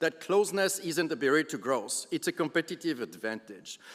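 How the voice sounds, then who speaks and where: High pitch for a man and lively intonation. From Switzerland. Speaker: business leader. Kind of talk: keynote speech.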